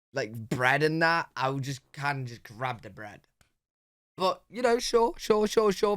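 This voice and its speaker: On a very clean recording with a silent background, the voice moves at a moderate pace through very wide pitch swings. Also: man. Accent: British. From Britain. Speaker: reaction youtuber. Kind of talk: casual reaction commentary.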